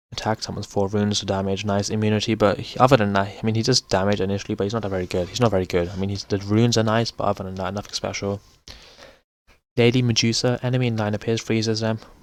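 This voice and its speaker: Very fast, monotone, flat delivery on a very clean recording with a silent background. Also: man, fairly low pitch for a man. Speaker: gaming YouTuber. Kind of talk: tier list commentary. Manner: casual, halting with fillers.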